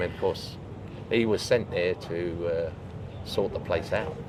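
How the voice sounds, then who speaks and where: A man speaks in a southern English accent. Background noise is noticeable. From England. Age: 80s+. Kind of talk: interview answer. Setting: outdoors.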